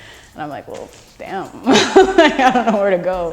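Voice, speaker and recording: A woman with a Canadian accent amid noticeable background noise. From Canada. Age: young. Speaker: spoken word poet. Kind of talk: interview answer. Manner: casual, conversational.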